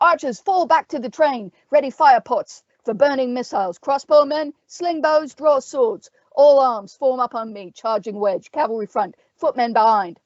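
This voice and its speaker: A woman's put-on character voice, gravelly and bellowing, high-pitched, with lively intonation at a moderate pace. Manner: bellowing orders.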